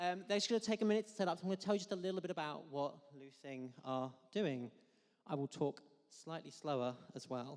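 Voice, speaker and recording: A man is speaking. His pace is fairly quick. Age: 20s. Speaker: event compere. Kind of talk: live stage hosting. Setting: stage with audience. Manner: animated.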